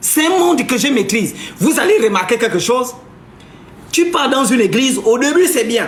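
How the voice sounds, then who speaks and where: An animated tone with lively intonation at a moderate pace, plus noticeable background noise and audible room echo. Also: man. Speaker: live streamer, spiritual commentator. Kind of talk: live stream monologue. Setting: live stream.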